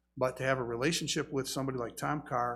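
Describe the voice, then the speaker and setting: A man speaks at a medium pitch and a very fast pace. His voice has vocal fry and fairly even intonation. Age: 60s. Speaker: pastor. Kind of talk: sermon.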